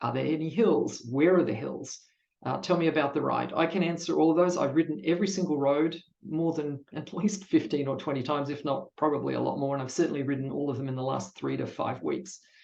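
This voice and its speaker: The pitch moves with ordinary variation. Delivery is at a very fast pace. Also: man, fairly high pitch for a man. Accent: Australian. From Australia. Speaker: cycling event ride leader. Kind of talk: online presentation.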